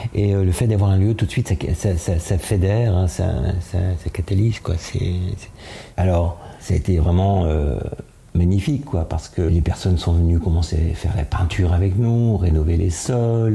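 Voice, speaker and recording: With noticeable background noise behind him, a man with a very deep, low voice speaks at a moderate pace with ordinary pitch variation and very even loudness. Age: 70s. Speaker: association president. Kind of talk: interview. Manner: hesitant, many fillers.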